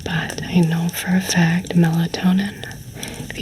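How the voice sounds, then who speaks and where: A fairly slow whisper comes through over clear background noise. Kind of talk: ASMR roleplay. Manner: warm, cozy.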